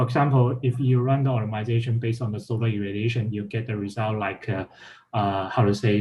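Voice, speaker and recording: A man talks at a fairly quick pace and medium pitch, somewhat breathy and in a monotone, flat intonation, with light background noise. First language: not English. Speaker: workshop instructor. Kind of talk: technical tutorial; explanatory talk, lecture-like. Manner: halting, many fillers. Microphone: video call.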